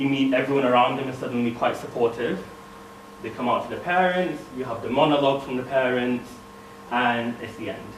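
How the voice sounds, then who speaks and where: Over noticeable background noise and audible room echo, a man at medium pitch talks at a fairly quick pace with ordinary pitch variation and big swings in loudness. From northern England, Bradford. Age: 20s. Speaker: speaker.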